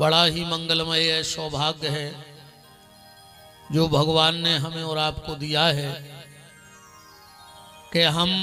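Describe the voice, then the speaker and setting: With music playing behind him, a man speaks in a fairly high, monotone, flat voice and leaves long, frequent pauses. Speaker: religious storyteller. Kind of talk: devotional sermon to live audience.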